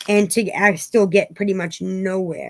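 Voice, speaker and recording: A woman's medium-pitched voice with vocal fry, at a moderate pace. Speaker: tarot reader. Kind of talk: tarot reading. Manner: casual, rambling.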